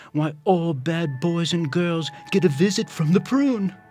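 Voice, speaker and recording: A man talks very slowly with music in the background. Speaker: voice actor. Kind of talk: rhyming story narration for animation. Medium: cartoon.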